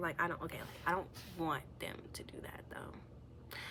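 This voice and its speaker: A woman speaks at a moderate pace with vocal fry, and audible room echo is present. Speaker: vlogger sharing personal story. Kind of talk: confessional vlog monologue. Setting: at home. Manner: halting, hesitant with many fillers.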